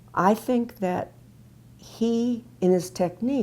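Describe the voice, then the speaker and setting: A woman speaks with a dark, mellow tone and vocal fry. Her intonation is lively. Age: 70s. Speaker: patient, retired speech pathologist. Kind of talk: testimony. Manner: halting.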